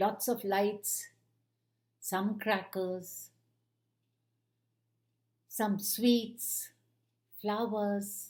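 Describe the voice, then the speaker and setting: Speaking in an Indian accent, a woman talks very slowly at a medium pitch, with long, frequent pauses. Her voice is somewhat breathy and her intonation monotone and flat. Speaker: retired kindergarten teacher. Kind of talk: children's storytelling.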